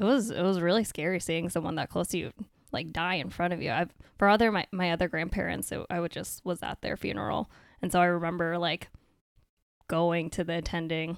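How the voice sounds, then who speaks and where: A woman speaks with an American accent in an ordinary speaking voice, fairly low in pitch with ordinary pitch variation, at a fairly quick pace. The sound is dry and close with no echo, on a very clean recording with a silent background. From Maine, US (Vietnamese American family). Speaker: medical resident physician. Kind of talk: casual interview chat.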